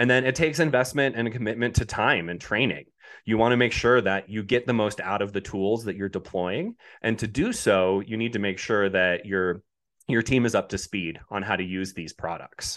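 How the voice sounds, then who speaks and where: In a normal speaking voice, a man with an American accent talks at a moderate pace with ordinary pitch variation over a quiet background. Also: fairly low pitch for a man. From Colorado. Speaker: robotics company representative. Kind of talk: interview.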